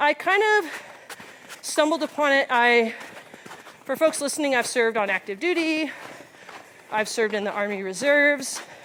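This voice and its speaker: A woman with an American accent speaks at a moderate pace in a high-pitched voice with lively intonation and long, frequent pauses, over noticeable background noise. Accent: Texan, comes out depending on listener. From South Texas. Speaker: physical therapist and army officer. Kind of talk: casual chat. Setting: outdoors on a hiking trail.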